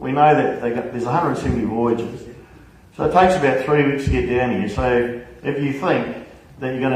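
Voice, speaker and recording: Amid noticeable background noise and audible room echo, a man with a New Zealand accent talks at a fairly quick pace and a medium pitch. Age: middle-aged. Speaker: trade union official. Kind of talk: public meeting Q&A. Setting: public meeting hall with audience.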